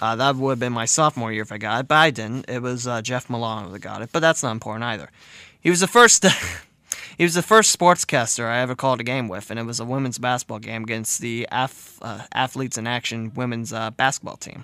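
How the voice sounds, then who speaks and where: Very fast speech from a medium-pitched man, with ordinary pitch variation and big swings in loudness. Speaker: college radio DJ. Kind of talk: radio show. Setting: radio studio. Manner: casual, many fillers.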